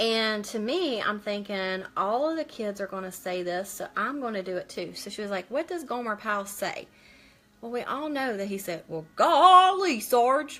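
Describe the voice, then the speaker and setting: Over background music, a woman speaks in a fairly high pitch with very wide pitch swings. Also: moderate pace. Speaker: makeup seller doing a live stream. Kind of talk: casual get-ready-with-me live stream. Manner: loud.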